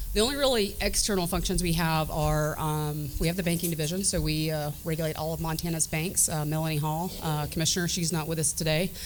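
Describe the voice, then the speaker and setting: With audible room echo, a woman speaks in a Southern US accent at a very deep, low pitch. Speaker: state government director. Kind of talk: panel remarks. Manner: many fillers (um, uh).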